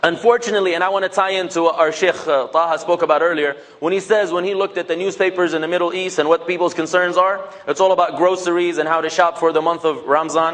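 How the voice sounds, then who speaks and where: Over noticeable background noise, an animated tone rushes along at a very fast pace with hardly any pauses. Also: man, high pitch for a man. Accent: Levantine. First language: Levantine Arabic. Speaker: public speaker. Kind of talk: talk to a mosque audience.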